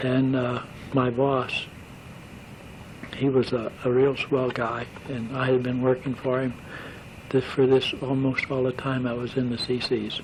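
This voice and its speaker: Noticeable background noise sits behind a man speaking at a medium pitch. His delivery is fairly slow and monotone, with flat intonation and long, frequent pauses. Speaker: war veteran; operating engineer. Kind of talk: oral history recollection. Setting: home tape recording. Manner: hesitant, rambling.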